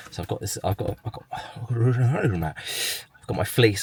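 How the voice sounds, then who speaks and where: A man with an Essex accent speaks with ordinary pitch variation. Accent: southern English (Essex). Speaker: vlogger. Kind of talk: casual vlog talk to camera. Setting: in a car. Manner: slurs words when vlogging.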